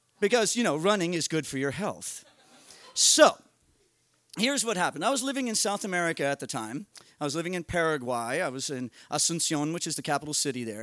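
The speaker talks at a very fast pace in an animated tone. The pitch swings very widely. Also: man, fairly high pitch for a man. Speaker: storyteller. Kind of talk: storytelling. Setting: stage with audience. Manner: conversational.

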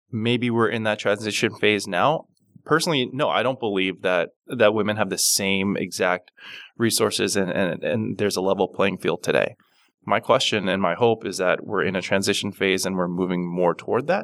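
Recorded very cleanly with a silent background, a man talks at fairly low pitch. He keeps a moderate pace with ordinary pitch variation. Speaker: business development director. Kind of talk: casual interview conversation. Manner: thoughtful, somewhat halting.

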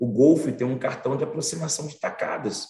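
A man speaks at a moderate pace with medium pitch. It is a normal speaking voice. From Brazil, Bahia (Salvador). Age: 40s. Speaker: finance professional and diversity advocate. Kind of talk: interview.

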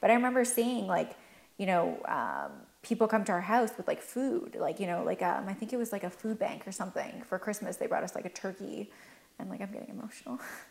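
Talking at a very fast pace, a woman with a Canadian accent has a fairly high pitch and ordinary pitch variation. Vocal fry runs through her voice. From Canada. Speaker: cosmetics entrepreneur. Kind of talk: interview.

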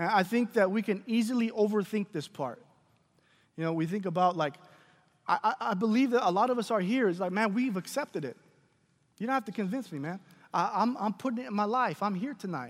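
A man with a high pitch, fairly quick pace, lively intonation and an animated tone, broken by long, frequent pauses, in a very clean recording with a silent background. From Mexican-American family, English-speaking home. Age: 20s. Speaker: preacher. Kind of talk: sermon. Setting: church service with congregation. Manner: animated, repetitive restarts.

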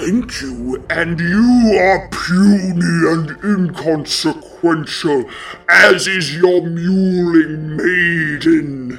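A woman uses a booming, put-on character voice at a fairly low pitch. She speaks at a very slow pace over light background noise. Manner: haughty, menacing, contemptuous.

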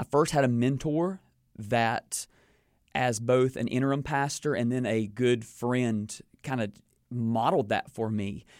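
A man speaks at a fairly slow pace with a North Carolina accent. The recording is very clean, with a silent background. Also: medium pitch for a man, ordinary pitch variation. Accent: Southern US (North Carolina). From North Carolina (King, Piedmont). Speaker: pastor and author. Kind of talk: interview.

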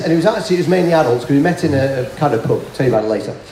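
With a northern English accent and ordinary pitch variation, a man speaks over noticeable background noise. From northern England. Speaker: ordained minister and board game ministry speaker. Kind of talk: conference talk with audience. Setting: stage with audience.

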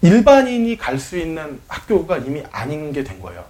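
A man's voice rises and falls across very wide pitch swings. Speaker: podcast host. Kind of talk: casual chat.

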